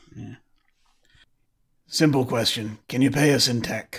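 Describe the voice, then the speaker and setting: A man uses a raspy, put-on character voice at a medium pitch. He talks at a moderate pace with fairly even intonation. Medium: actual play. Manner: dry, laconic.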